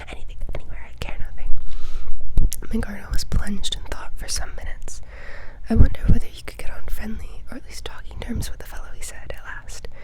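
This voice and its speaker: The speech moves at a fairly quick pace. Noticeable background noise runs underneath it. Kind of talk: ASMR whispered book reading.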